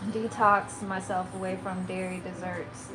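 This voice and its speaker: A woman with a Maryland accent, fairly slow, amid noticeable background noise and audible room echo. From Maryland, near DC. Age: 30s. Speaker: lifestyle and plant-based content creator. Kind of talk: livestream chat with viewers. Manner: halting, many fillers.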